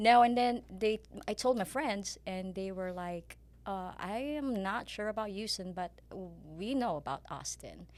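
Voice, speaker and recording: A woman speaks with a Filipino accent. Her pace is fairly slow. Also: medium pitch for a woman, ordinary pitch variation. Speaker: pharmaceutical sales rep and part-time real estate agent. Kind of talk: podcast interview.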